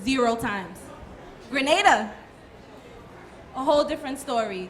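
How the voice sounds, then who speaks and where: A woman speaks with a high pitch, ordinary pitch variation and a moderate pace. Noticeable background noise and audible room echo fill the recording. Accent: American. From Brooklyn, New York. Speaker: soca artiste. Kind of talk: panel discussion.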